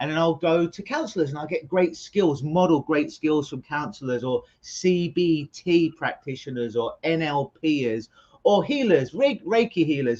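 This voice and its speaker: A man with a London accent speaks at a moderate pace with hardly any pauses. His pitch is fairly high, with ordinary variation. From London, England. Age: 40s. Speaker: clinical hypnotist. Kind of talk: interview conversation.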